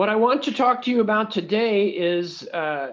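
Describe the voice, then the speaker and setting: A man in an American accent, with ordinary pitch variation. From United States. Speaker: professor. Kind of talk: lecture. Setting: video call. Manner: hesitant, many fillers.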